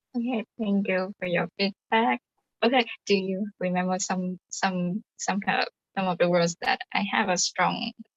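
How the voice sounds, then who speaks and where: The voice is somewhat breathy, with ordinary pitch variation and a fairly slow pace. It is recorded dry and close, with no echo. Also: woman, medium pitch for a woman. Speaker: English learner. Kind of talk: asking for feedback in speaking club. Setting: live stream video call.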